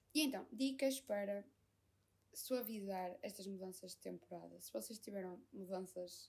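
In an ordinary speaking voice, a woman talks at a medium pitch and moderate pace with lively intonation. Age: 20s. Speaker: podcaster. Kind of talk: casual monologue.

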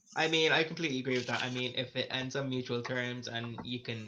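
A man talks with an Irish accent. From Ireland, County Meath. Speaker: podcast co-host, hotel receptionist. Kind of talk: casual chat.

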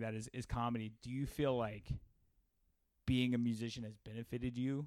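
Talking at a fairly quick pace, a man has an ordinary speaking voice with a medium pitch and fairly even intonation. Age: 30s. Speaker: podcast host and bass player. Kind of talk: casual interview.

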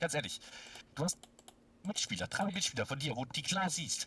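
A man with a fairly high pitch talks in a bright, sharp tone, his pitch varying in an ordinary way. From Baden-Württemberg, near Stuttgart. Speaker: football fan. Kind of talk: casual chat. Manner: animated.

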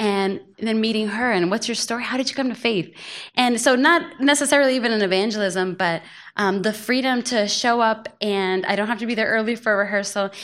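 Over a quiet background, a woman with a normal speaking voice talks at a fairly quick pace, her fairly high pitch showing ordinary variation. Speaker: missionary returnee and church member. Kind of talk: panel discussion.

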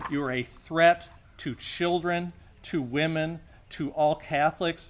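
Here a man speaks at a fairly slow pace. His fairly high voice shows ordinary pitch variation. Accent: American. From Missouri, US (St. Louis). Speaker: abuse survivor and activist. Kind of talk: protest speech. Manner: impassioned.

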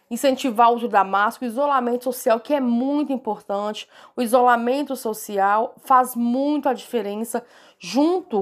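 Ordinary pitch variation at a moderate pace on a very clean recording with a silent background. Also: woman. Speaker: health professional. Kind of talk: interview. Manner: halting.

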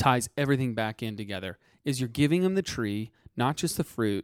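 Recorded very cleanly against a silent background, with a dry, close sound and no echo, a man of medium pitch speaks in an unremarkable speaking voice at a fairly quick pace with ordinary pitch variation. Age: 20s. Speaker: financial podcast co-host. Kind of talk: casual chat.

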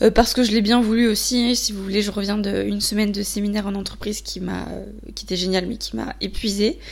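Fairly quick with hardly any pauses, the speech shows big swings in loudness amid audible room echo. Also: woman. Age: 20s. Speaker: podcaster. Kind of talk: solo monologue. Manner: hesitant, many fillers.

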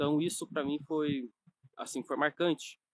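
The speaker is a man. His delivery is moderately paced, and the sound is dry and close with no echo. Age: 20s. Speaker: nutrition coach and online course creator. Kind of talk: online course lesson, personal story. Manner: casual with many fillers.

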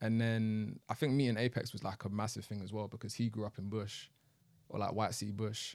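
A fairly low-pitched man's voice in a monotone, flat intonation, on a very clean recording with a silent background. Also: fairly quick pace. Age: 20s. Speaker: rapper and producer. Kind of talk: casual chat.

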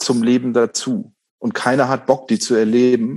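Medium pitch from a man, with intonation kept fairly even. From northern Germany, Bremen. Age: 40s. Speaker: undertaker. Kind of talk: casual chat.

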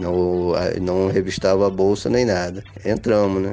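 A man speaks at a fairly low pitch and a fairly slow pace. Noticeable background noise is present. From Brazil, Rio de Janeiro. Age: 50s. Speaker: father interviewed about parenthood. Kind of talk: interview storytelling. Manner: halting, repeats words.

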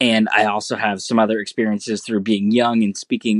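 A man with an American accent talks at a fairly low pitch. His intonation is monotone and flat, and the sound is dry and close with no echo. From United States. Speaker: listener sending in a question. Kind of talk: recorded voice message question. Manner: hesitant, many ums.

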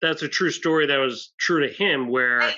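Here is a man with an ordinary speaking voice. His pitch sits fairly high, with ordinary pitch variation. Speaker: podcast co-host. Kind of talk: interview.

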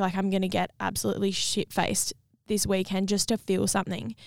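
With an Australian accent, a woman speaks at a moderate pace and medium pitch, the sound dry and close with no echo, the recording very clean over a silent background. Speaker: podcast host and singer-songwriter. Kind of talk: casual chat.

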